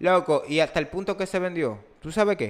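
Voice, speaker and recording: The background is silent and the recording very clean. A man talks fairly slowly. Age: 20s. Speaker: podcast host. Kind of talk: casual chat. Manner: animated.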